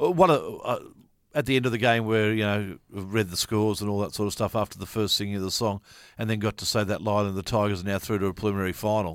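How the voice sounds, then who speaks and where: A man with an Australian accent talks at a very fast pace in a fairly low pitch. The recording is very clean, with a silent background. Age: 50s. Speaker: sports podcast co-host. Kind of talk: casual chat.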